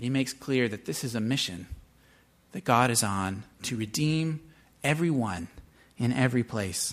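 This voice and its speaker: This man talks at a moderate pace with a medium pitch and lively intonation. His speech has long, frequent pauses. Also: very clean recording, silent background. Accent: American. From US Pacific Northwest, Seattle. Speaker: pastor. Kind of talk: sermon.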